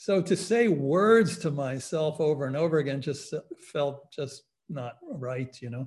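A man's somewhat breathy voice, fairly high in pitch, at a fairly slow pace. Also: ordinary pitch variation. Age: 60s. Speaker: psychologist and meditation teacher. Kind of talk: lecture. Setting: online webinar.

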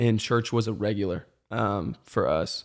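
In a plain, everyday voice of medium pitch with ordinary pitch variation, a man talks on a very clean recording with a silent background. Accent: American. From US South, Metro Atlanta. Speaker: church creative and former college athlete. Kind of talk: casual chat.

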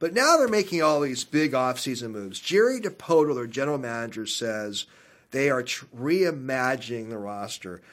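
This man has an ordinary speaking voice at a medium pitch, with lively intonation. He talks at a moderate pace, and his loudness swings widely. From Seattle. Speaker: radio host. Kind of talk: casual interview chat.

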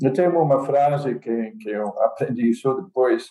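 Speaking fairly slowly with a Dutch accent, a man uses a dark, mellow tone and lively intonation. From Netherlands. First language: Dutch (speaking Portuguese). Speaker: computer science professor. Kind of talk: casual chat. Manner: halting.

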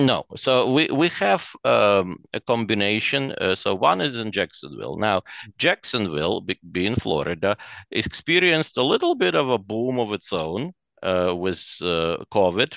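With very wide pitch swings around a fairly low pitch, a man talks over a quiet background, the sound dry and close with no echo. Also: moderate pace. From Ukraine (Chernivtsi), Soviet Union. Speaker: real estate investor. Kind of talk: interview. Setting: video call. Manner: halting.

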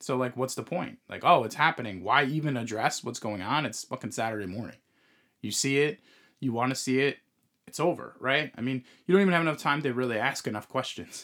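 A man's bright, sharp tone at a medium pitch, with ordinary pitch variation and a fairly quick pace, on a very clean recording with a silent background. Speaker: podcast host. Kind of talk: casual chat.

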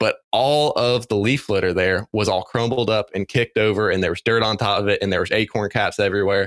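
A man with an American accent talks at a fairly quick pace and medium pitch, with ordinary pitch variation and an unremarkable speaking voice. The sound is dry and close with no echo, on a very clean recording with a silent background. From western North Carolina. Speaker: wildlife researcher. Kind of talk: interview.

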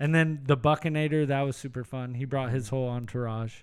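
A very clean recording with a silent background, and a plain, everyday voice. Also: man. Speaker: podcast host. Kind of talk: casual chat.

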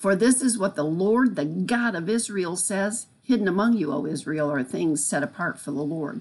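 With lively intonation and at a moderate pace, a woman talks in an ordinary speaking voice. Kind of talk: devotional teaching.

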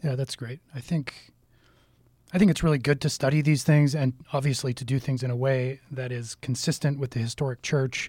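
Somewhat breathy at medium pitch, a man speaks at a moderate pace in a very clean recording with a silent background. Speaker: deacon and podcast host. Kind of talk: casual religious discussion.

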